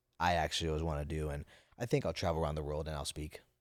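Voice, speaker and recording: This man has a very deep, low voice and an American accent, delivered in a monotone with flat intonation. The recording is very clean, with a silent background. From Napa Valley, California. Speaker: finance entrepreneur and public speaker. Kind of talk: casual interview chat. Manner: halting, repeats words.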